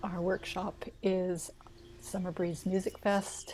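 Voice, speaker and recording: Somewhat breathy and fairly slow, a woman speaks at a medium pitch. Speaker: interviewer for a music organization's presenter series. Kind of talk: casual interview wrap-up.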